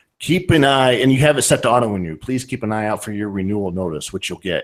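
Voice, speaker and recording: In a very clean recording with a silent background, a man with a northern Ohio accent talks very fast at a fairly low pitch. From US, northern Ohio. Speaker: podcast host. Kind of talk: casual chat.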